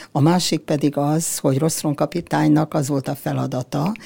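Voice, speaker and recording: Her pitch is very deep and low for a woman, with a dark, mellow tone. She speaks at a fairly slow pace. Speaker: granddaughter of a ship's doctor. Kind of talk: interview.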